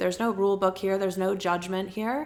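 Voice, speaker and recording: A woman talks at a fairly quick pace. Her pitch is medium with ordinary variation. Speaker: womb and birth practitioner, doula. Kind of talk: talking-head teaching video. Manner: easeful; casual.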